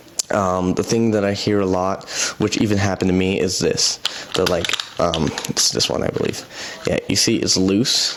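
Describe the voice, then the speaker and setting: With noticeable background noise behind him, a man talks at a moderate pace with fairly low pitch and fairly even intonation. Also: very even loudness. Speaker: headphone reviewer. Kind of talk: product review. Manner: halting, many fillers; casual.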